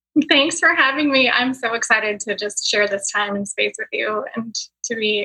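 Fairly high-pitched female speech, an ordinary speaking voice, at a moderate pace and with ordinary pitch variation. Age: 40s. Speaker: mindset and business coach. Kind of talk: casual interview chat.

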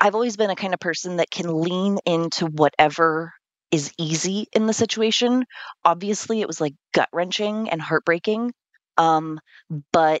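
A woman with an ordinary speaking voice and fairly low pitch talks at a moderate pace with ordinary pitch variation. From California. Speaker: death coach. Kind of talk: interview.

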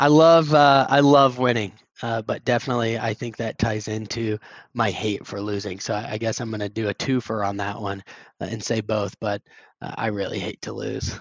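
A man with a Midwestern American accent, medium pitch and ordinary pitch variation. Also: moderate pace. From Indianapolis, Indiana, US Midwest. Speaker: sales account executive. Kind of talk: interview.

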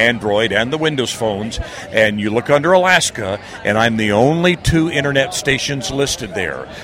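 Lively intonation runs through a man's speech in an American accent. Noticeable background noise sits behind him. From northeastern US, near Philadelphia. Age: 60s. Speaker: radio broadcaster and military veteran. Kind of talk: interview. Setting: expo floor.

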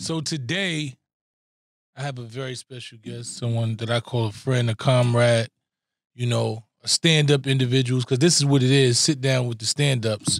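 An unremarkable speaking voice moves at a moderate pace with fairly even intonation but big swings in loudness, recorded very cleanly with a silent background and a dry, close sound with no echo. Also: man, medium pitch for a man. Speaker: podcast co-host. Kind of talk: casual chat.

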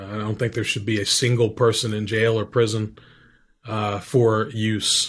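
A man speaks at a fairly slow pace in a fairly low, somewhat breathy voice with monotone, flat intonation, on a very clean recording with a silent background. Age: 50s. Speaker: veteran, author and documentary director. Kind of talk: interview. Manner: halting.

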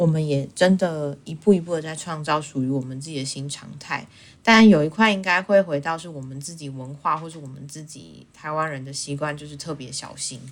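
Talking at a fairly quick pace with hardly any pauses, a woman uses a very deep, low voice with ordinary pitch variation and big swings in loudness. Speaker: podcast co-host. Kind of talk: casual chat.

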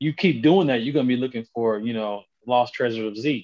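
In a normal speaking voice, a man speaks at a fairly quick pace and medium pitch with fairly even intonation. The sound is dry and close, with no echo. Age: 30s. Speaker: podcast guest. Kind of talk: casual chat.

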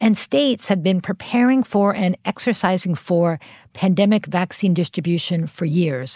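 Somewhat breathy and dark, mellow in tone, a woman talks at a moderate pace with ordinary pitch variation and very even loudness, the sound dry and close with no echo in a very clean recording with a silent background. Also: medium pitch for a woman. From US Northeast, Philadelphia. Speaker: public health official. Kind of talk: interview.

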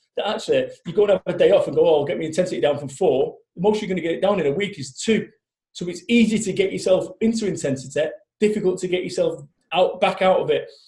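A man with a Mancunian accent, animated in tone, at a very fast pace. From Manchester, England. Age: 40s. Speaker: motivational business speaker. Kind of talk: interview.

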